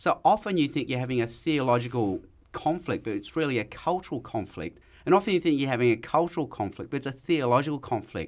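With an Australian accent, a man speaks at a very fast pace in a fairly high pitch with lively intonation, in a very clean recording with a silent background. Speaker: evangelist and lecturer. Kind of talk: casual interview chat.

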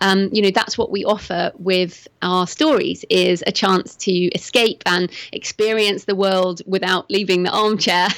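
A woman with a British accent speaks at a fairly slow pace and medium pitch, with very even loudness, fairly even intonation and hardly any pauses. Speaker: thriller author. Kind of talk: interview.

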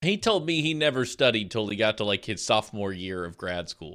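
In a very clean recording with a silent background, a man with a medium pitch talks at a fairly quick pace, his bright, sharp tone animated and his intonation lively. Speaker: podcast host. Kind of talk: casual chat.

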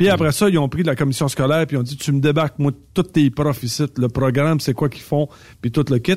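Recorded very cleanly against a silent background, a man speaks at a very fast pace. His voice is somewhat breathy, with ordinary pitch variation. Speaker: trucking recruiter and driving coach. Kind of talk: casual chat.

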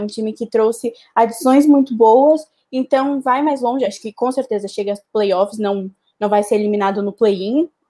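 This woman has a normal speaking voice, fairly high in pitch. She talks at a moderate pace with ordinary pitch variation. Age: 20s. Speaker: basketball columnist. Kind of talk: casual chat.

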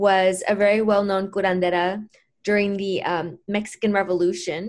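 Speaking fairly slowly, a woman uses an unremarkable speaking voice pitched at a medium level. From Mexico, moved to US as a child. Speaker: healer and author. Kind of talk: interview.

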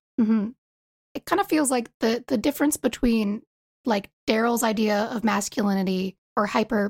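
Somewhat breathy delivery at a moderate pace. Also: woman. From US East Coast. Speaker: fan artist. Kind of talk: casual chat.

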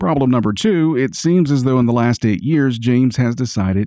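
Against a quiet background, a man speaks at medium pitch in a dark, mellow tone. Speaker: radio news presenter. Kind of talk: news reading.

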